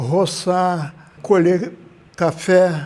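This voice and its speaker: A man speaks with a dark, mellow tone. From interior of São Paulo state, Brazil (Ribeirão Preto). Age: 80s+. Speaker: retired former cyclist and laborer. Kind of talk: documentary interview.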